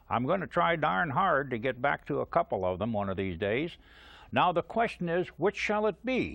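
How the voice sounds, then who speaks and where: The pace is moderate. A man's pitch swings very widely. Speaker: TV outdoor show host. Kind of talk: TV show host talk to camera.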